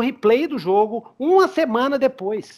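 A man talks at an extremely high pitch, with very wide pitch swings. The background is quiet. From Brazil. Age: 40s. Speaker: podcast host, RPG game master; podcast host. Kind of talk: casual chat. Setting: online call. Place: home room. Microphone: headset.

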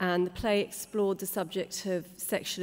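In a British accent, a woman speaks with monotone, flat intonation. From England. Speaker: playwright. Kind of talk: panel discussion. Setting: stage with audience. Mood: calm, earnest personal account. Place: hall. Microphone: podium.

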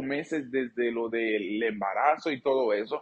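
Against a quiet background, a man with a Dominican accent speaks at a fairly slow pace. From Dominican Republic. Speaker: YouTuber and sexologist; storyteller vlogger. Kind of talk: storytime vlog. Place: studio.

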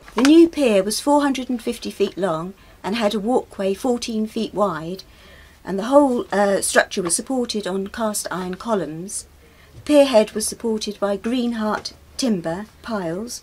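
A woman with a southern English accent, fairly high-pitched and fairly slow, with lively intonation and big swings in loudness. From southern England. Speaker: local historian; presenter. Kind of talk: casual explanation. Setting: outdoors on a boat. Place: boat.

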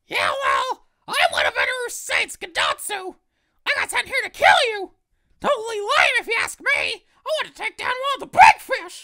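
A put-on character voice, squeaky and extremely high in pitch, moves at a moderate pace. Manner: yelling, boastful, complaining.

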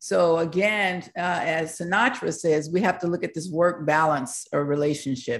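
An ordinary speaking voice from a woman, fairly low in pitch with ordinary pitch variation, at a moderate pace with hardly any pauses. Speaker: university professor. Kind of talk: online panel presentation. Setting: video call. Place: home room. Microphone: video call.

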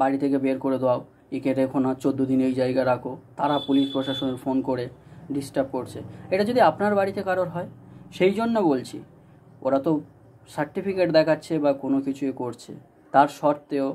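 A man's fairly high-pitched voice with ordinary pitch variation over light background noise. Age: 20s. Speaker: DJ and YouTuber; DJ addressing followers. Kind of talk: direct-to-camera vlog appeal. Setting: at home. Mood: earnest, appealing. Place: home room. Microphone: phone near.

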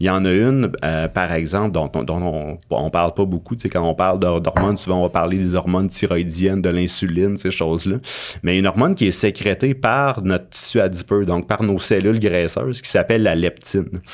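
A man with a Quebec accent speaks at a moderate pace with a very deep, low pitch. His pitch varies in an ordinary way, and the background is quiet. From Abitibi, Quebec. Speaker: university professor and researcher; university professor. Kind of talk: interview conversation. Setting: studio. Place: studio. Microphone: studio mic.

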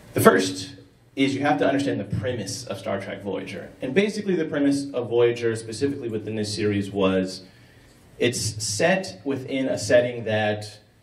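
The room gives off an audible echo. The pace is moderate, with ordinary pitch variation. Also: man. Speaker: conference presenter. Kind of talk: conference talk.

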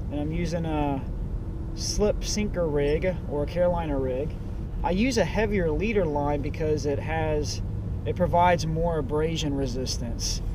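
A man speaks at a moderate pace. The sound is dry with no echo, and background noise is noticeable. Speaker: angler vlogger. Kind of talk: tutorial. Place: boat. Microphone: camera far.

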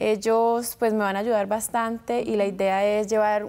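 Her voice is fairly high in pitch for a woman, with a dark, mellow tone and monotone, flat intonation. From US, Florida (Tampa), Colombian family; Florida. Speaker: beauty pageant winner; guest. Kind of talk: TV interview. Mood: poised, friendly. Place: studio. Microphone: lapel.

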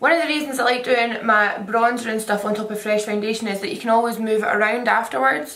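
Speaking very fast, a woman with a fairly high voice comes through noticeable background noise. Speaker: makeup artist and beauty YouTuber. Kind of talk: casual talk to camera. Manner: chatty.

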